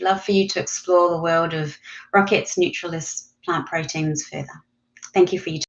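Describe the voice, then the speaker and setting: Over a quiet background, a woman speaks in a fairly low, monotone, flat voice. Her loudness swings widely. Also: moderate pace. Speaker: company presenter; presenter. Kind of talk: presentation. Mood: friendly, smiling. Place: home room. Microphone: video call.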